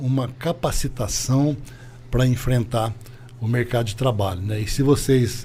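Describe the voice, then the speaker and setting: This man's medium-pitched voice has a dark, mellow tone, somewhat breathy and delivered at a fairly slow pace. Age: 60s. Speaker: business owner. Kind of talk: interview.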